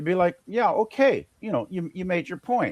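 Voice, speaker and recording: A man's high-pitched voice at a moderate pace, dry and close with no echo. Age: 60s. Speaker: live stream co-host. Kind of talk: casual chat. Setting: live stream. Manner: halting.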